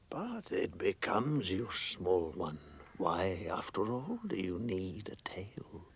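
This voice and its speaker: A man puts on a character voice and delivers his lines at a fairly slow pace. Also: fairly low pitch for a man. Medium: short film. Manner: calm, grave and gentle.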